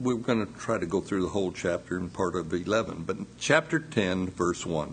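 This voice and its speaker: A man with a very deep, low pitch speaks at a fairly slow pace in a somewhat breathy voice. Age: 60s. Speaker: pastor. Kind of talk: sermon. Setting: church.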